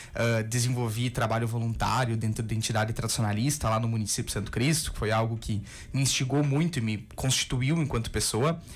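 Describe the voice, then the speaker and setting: Fairly quick, somewhat breathy speech from a man at medium pitch, fairly even in intonation, with hardly any pauses and audible room echo. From southern Brazil, Rio Grande do Sul. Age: 20s. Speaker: biology professor. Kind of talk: radio interview.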